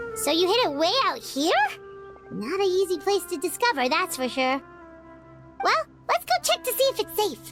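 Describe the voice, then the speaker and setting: A cartoonish character voice, part of the act, sits at an extremely high pitch and moves at a moderate pace. Music plays clearly in the background. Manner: chatty, inquisitive.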